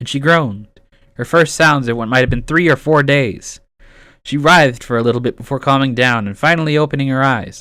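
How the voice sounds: The speaker reads naturally. Pitch moves up and down in an ordinary way.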